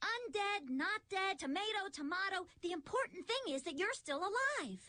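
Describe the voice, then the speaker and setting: A cartoonish character voice moves at a moderate pace, with very wide pitch swings and very even loudness. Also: woman, extremely high pitch for a woman. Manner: matter-of-fact.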